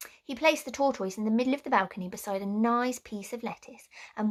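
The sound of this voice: An unforced reading voice carries the text with ordinary pitch variation.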